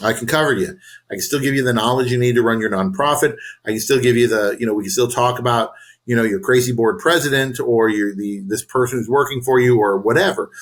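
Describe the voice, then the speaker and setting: Speaking at a very fast pace, a man with an American accent keeps a medium pitch and ordinary pitch variation. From US West Coast (San Diego). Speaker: nonprofit coach, former nonprofit CEO. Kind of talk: casual interview chat. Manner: loud; animated.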